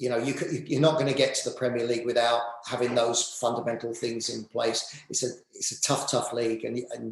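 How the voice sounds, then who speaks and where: This man speaks with an English accent at a fairly quick pace. His pitch sits in the medium range. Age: 50s. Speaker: football director and former manager. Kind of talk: interview. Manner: halting, many fillers and repeats.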